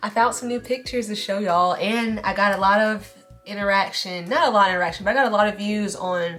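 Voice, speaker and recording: A woman talks at a very fast pace amid noticeable background noise. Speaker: beauty vlogger. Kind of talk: casual vlog talk. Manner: animated.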